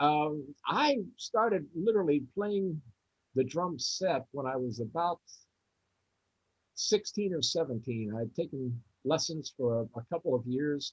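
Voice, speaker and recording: A man with an American accent speaks at a fairly slow pace, leaving long, frequent pauses, his voice somewhat breathy and fairly high in pitch. His intonation is lively, and the sound is dry and close with no echo. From US, West Virginia (Charleston). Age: 70s. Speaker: jazz drummer. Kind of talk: interview.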